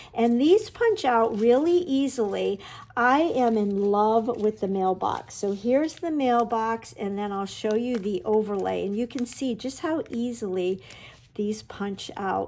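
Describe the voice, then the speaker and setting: Ordinary pitch variation in a woman's fairly high voice, delivered at a fairly slow pace. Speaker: papercraft product consultant. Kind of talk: product walkthrough. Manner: animated.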